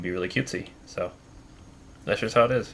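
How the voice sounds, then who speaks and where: A man talks at a moderate pace. Behind his voice, there is music. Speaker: vtuber gaming streamer. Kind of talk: casual live stream chat. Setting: live stream.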